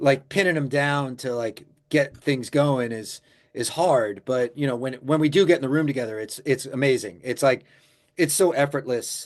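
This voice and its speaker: An unremarkable speaking voice at a moderate pace, with ordinary pitch variation and a quiet background. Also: man, medium pitch for a man. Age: 50s. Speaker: musician. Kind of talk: interview.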